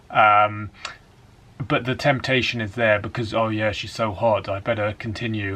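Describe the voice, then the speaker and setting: At a moderate pace, a man with a fairly low pitch speaks in a monotone, flat intonation with an English accent. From England. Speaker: dating coach. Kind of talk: casual talk to camera.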